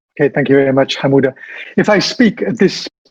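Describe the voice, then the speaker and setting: A man talks at a fairly quick pace with ordinary pitch variation, in a dry, close sound with no echo. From Wales. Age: 50s. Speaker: translator and trainer. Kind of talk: online talk. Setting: video call.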